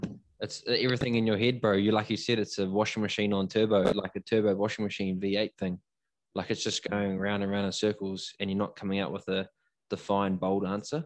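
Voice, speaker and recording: In a New Zealand accent, a man speaks at a fairly quick pace with a fairly low pitch and monotone, flat intonation. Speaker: podcast host. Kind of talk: casual chat.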